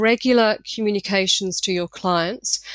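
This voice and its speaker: A woman speaks with an English accent. Her intonation stays fairly even. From England. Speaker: marketing consultant. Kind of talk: webinar presentation. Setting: webinar. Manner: loud.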